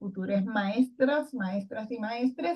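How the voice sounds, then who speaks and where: With a dark, mellow tone, a woman speaks at a fairly slow pace in a fairly high pitch, somewhat breathy, with ordinary pitch variation. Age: 60s. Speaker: retired education professor. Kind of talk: recorded lecture presentation.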